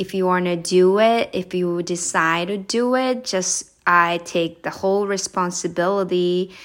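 A woman with a Japanese accent, medium pitch, fairly even intonation and a fairly slow pace, on a very clean recording with a silent background. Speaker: podcast host, English coach. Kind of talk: casual solo podcast talk. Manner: conversational, with fillers.

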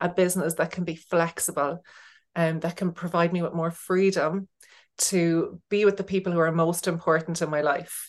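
Her intonation monotone and flat, a woman with an Irish accent speaks in a fairly low voice. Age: 40s. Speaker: business coach, former teacher. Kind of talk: casual interview chat. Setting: remote call.

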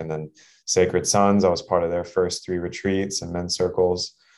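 A man speaks in a very deep, low voice with monotone, flat intonation. The recording is very clean, with a silent background. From Texas. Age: 30s. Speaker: performance coach. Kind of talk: casual chat.

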